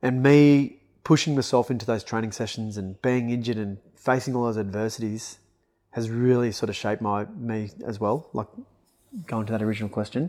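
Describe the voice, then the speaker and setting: In a very clean recording with a silent background, a man with an Australian accent and medium pitch talks very fast with fairly even intonation and long, frequent pauses. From Australia, northern New South Wales (Kyogle). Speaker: personal coach. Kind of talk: casual chat.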